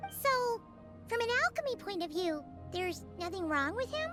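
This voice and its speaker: An extremely high-pitched, put-on character voice at a moderate pace over clear background music. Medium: video game. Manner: excitable.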